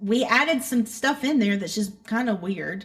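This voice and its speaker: A woman with a Southern accent, fairly high pitch, ordinary pitch variation and a moderate pace. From North Carolina (Hickory area). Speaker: country-pop singer. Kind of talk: interview. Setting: remote interview.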